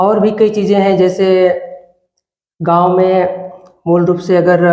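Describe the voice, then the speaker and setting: Against audible room echo, a man with a high pitch and a dark, mellow tone speaks in a flat monotone. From India, Chhattisgarh (Balrampur district). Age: 20s. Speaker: village election candidate, student. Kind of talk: interview. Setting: studio.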